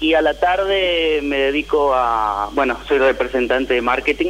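A man speaks at a fairly slow pace with ordinary pitch variation. Noticeable background noise runs under his voice. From Tucumán, Argentina. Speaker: caller. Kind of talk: personal testimony.

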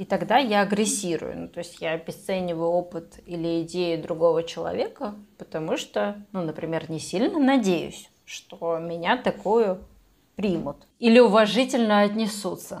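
With an ordinary speaking voice, a woman talks at a moderate pace in a fairly low pitch, showing ordinary pitch variation and big swings in loudness. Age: 20s. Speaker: psychologist, podcast co-host. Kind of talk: casual chat.

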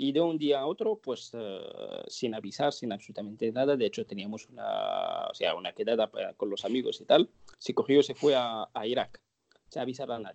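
A man speaks at a moderate pace. The sound is dry and close with no echo, over a quiet background. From northern Morocco (Larache). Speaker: terrorism and radicalization expert. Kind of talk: interview. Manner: halting, many fillers and repetitions.

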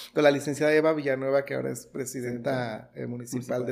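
A man's medium-pitched, monotone, flat voice at a very fast pace. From Mexico, Michoacán (Los Reyes). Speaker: local TV journalist. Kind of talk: interview.

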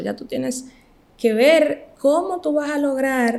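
With a Dominican accent, a woman speaks at a fairly slow pace with ordinary pitch variation. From Dominican Republic, Montecristi. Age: 20s. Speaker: medical graduate. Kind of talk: casual interview.

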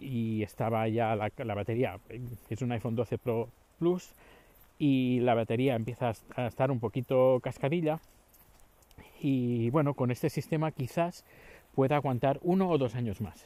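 A man's medium-pitched voice with a dark, mellow tone, ordinary pitch variation, a fairly slow pace and long, frequent pauses. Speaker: podcaster. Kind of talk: casual monologue. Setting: outdoors walking the dog. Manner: halting.

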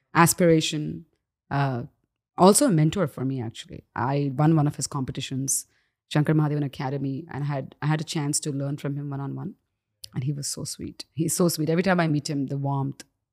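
Talking at a fairly quick pace, a woman with a very deep, low pitch keeps a fairly even intonation in a dry, close sound with no echo. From Dubai, raised as Indian expat, moved to Canada as a teen. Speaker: singer. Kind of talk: interview conversation. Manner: frequent fillers and hesitations.

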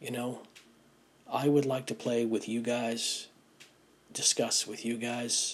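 A man's medium-pitched voice, very slow, with long, frequent pauses and monotone, flat intonation. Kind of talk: personal testimony. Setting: home front room. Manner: halting, many fillers.

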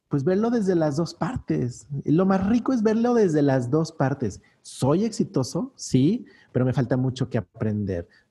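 A man speaks slowly-ish in a fairly high, somewhat breathy voice with a dark, mellow tone, very wide pitch swings, and very even loudness. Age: 40s. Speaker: business coach. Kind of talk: interview.

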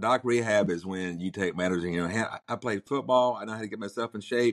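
A man with a North Carolina accent talks at a fairly low pitch with fairly even intonation, recorded with a dry, close sound, no echo and a quiet background. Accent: Southern US (North Carolina coastal). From US South, Outer Banks of North Carolina. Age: 60s. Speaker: heart attack survivor, car dealership owner. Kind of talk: casual interview. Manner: blunt, outspoken.

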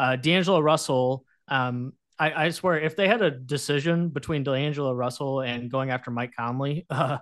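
A man's normal speaking voice, medium in pitch, at a moderate pace with fairly even intonation over a quiet background. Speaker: sports journalist guest. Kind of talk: casual sports chat.

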